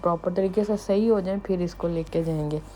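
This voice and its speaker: The woman's voice sits at a fairly low pitch. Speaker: vlogger. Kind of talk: casual vlog narration.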